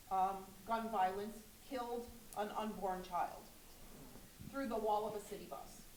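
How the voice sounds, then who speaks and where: Audible room echo carries a woman's fairly high-pitched voice. She talks at a fairly slow pace with fairly even intonation and long, frequent pauses. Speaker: audience member, rotarian. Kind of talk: audience question. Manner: loud.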